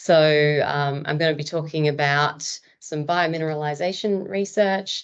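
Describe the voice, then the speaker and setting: A woman with an Australian accent and a very deep, low pitch speaks with ordinary pitch variation over a quiet background. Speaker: marine biologist. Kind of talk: lecture. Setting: webinar.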